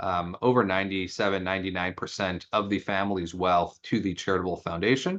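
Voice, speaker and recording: A man with a very deep, low pitch talks at a fairly quick pace in a monotone, flat intonation. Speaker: foundation investment professional. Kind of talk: panel discussion.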